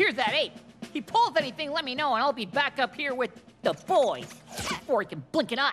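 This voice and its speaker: Using a cartoonish character voice, a woman talks at a fairly quick pace. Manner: clipped, officious.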